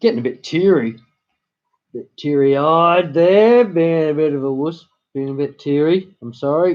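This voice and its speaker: At a moderate pace, a man with a fairly high voice speaks with big swings in loudness and ordinary pitch variation. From Australia, partly raised in Virginia, US. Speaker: live streamer. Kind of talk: casual live-stream chat. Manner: halting.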